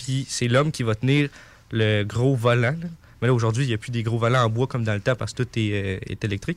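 Fairly quick and fairly even in intonation, a man speaks at a medium pitch in a plain, everyday voice. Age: 20s. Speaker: sailor. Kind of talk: storytelling in radio chat. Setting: radio studio.

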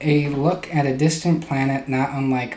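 A man speaks at a fairly slow pace and medium pitch. His intonation stays fairly even amid noticeable background noise. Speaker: podcast co-host. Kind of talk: casual comedic banter.

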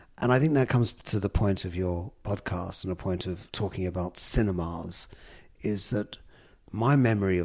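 A man's very deep, low voice in a London accent, at a moderate pace with ordinary pitch variation, on a very clean recording with a silent background. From London, Islington. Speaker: film producer. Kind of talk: interview. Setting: office boardroom.

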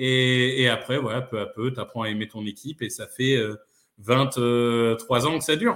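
A man speaks at a fairly slow pace in an ordinary speaking voice, his medium pitch carried by fairly even intonation. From northern France (Amiens). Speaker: football podcaster and fan. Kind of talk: casual chat.

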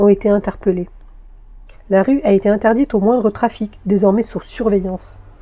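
Somewhat breathy and dark, mellow in tone, a woman speaks fairly quickly at a fairly high pitch with ordinary pitch variation. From Paris region, France. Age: 50s. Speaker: podcast author and narrator. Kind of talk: scripted narration.

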